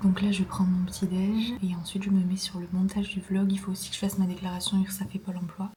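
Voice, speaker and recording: A woman talks at a very fast pace with hardly any pauses. Her medium-pitched voice keeps a monotone, flat intonation. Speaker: ceramics vlogger. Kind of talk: casual vlog diary. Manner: hesitant, many fillers.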